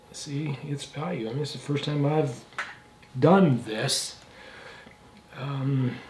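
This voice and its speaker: Pausing long and often, a man with a fairly high pitch talks at a very slow pace with fairly even intonation, amid noticeable background noise and audible room echo. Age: 70s. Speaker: instrument restorer and woodworker. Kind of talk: workshop tutorial. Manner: casual, halting with fillers.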